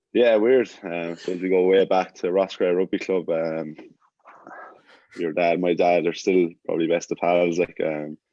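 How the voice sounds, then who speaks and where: Speaking fairly slowly with an Irish Midlands accent, a man uses a very deep, low pitch and fairly even intonation. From Ireland, Birr, County Offaly. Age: 20s. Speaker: rugby player. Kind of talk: casual chat.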